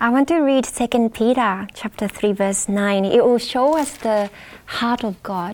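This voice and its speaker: With a Japanese accent, a woman talks fairly slowly at a fairly high pitch and with ordinary pitch variation. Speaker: Bible study panelist. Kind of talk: Bible study panel discussion. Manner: halting, with fillers.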